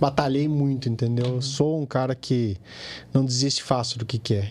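An ordinary speaking voice from a man, medium-pitched and fairly quick. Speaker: plastic surgeon. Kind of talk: casual chat.

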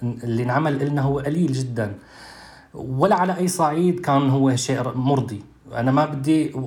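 Over noticeable background noise and audible room echo, a man with a Damascus accent speaks at a moderate pace with ordinary pitch variation. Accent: Damascene Syrian Arabic. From Syria, Douma (Eastern Ghouta). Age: 30s. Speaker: human rights activist. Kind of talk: testimony. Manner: halting.

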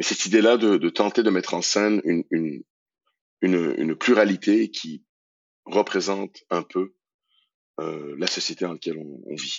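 With long, frequent pauses and big swings in loudness, a man with a very deep, low voice talks at a moderate pace. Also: ordinary pitch variation. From Iran. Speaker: theatre director and actor. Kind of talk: interview. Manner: halting, repeats words.

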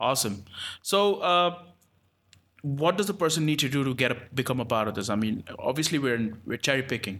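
The recording is very clean with a silent background, carrying a man with a normal speaking voice at medium pitch. He talks at a fairly quick pace with lively intonation. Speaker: podcast host. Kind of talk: casual interview chat.

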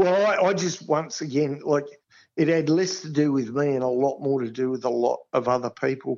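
A man with an Australian accent speaks at a moderate pace in a fairly high pitch, his pitch varying in an ordinary way. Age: 60s. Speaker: sports ground manager. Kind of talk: interview.

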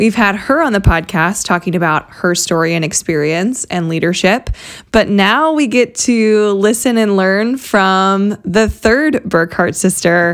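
With an American accent, a woman speaks in a warm, enthusiastic tone at a medium pitch. Her pace is fairly slow and her intonation lively. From US Midwest. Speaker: podcast host, softball coach. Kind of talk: casual interview chat.

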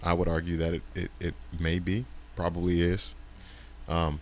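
A man talks in a very deep, low pitch. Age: 40s. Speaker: podcast guest. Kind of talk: casual chat.

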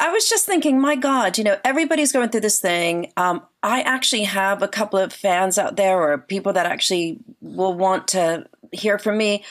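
A woman's plain, everyday voice with an American accent, medium pitch, lively intonation, moderate pace and very even loudness. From New Jersey, central shore area. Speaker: rock musician. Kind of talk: casual interview.

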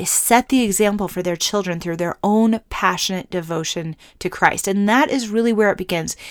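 In a very clean recording with a silent background, a woman with a normal speaking voice talks at a moderate pace, medium pitch and ordinary pitch variation. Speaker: podcast host. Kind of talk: teaching talk. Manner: earnest, warm.

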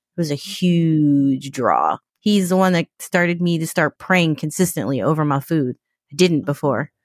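In an American accent, the voice comes through on a very clean recording with a silent background, with a dry, close sound and no echo. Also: woman, very deep, low pitch for a woman, ordinary pitch variation, moderate pace. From New York. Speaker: podcast guest. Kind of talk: casual interview.

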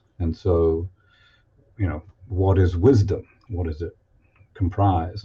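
Somewhat breathy, a man speaks with a very deep, low pitch and a dark, mellow tone. The background is quiet. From Toronto, Canada. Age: 70s. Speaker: guest and researcher. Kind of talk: casual interview conversation. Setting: video call.

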